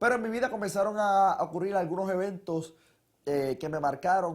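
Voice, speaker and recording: A man's high-pitched voice with a Puerto Rican accent. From Puerto Rico. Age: 20s. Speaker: testimony speaker, young preacher. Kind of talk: testimony.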